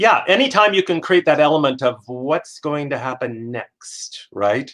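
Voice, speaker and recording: This man has a fairly high pitch. His intonation is lively. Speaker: professional speaker and author. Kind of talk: interview conversation. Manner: fast-paced; high energy.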